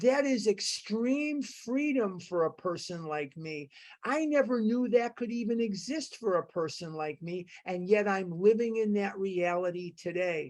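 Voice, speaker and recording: Over a quiet background, a woman uses an ordinary speaking voice at medium pitch, with lively intonation and a fairly slow pace. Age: 60s. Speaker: recovery meeting speaker. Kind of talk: testimony.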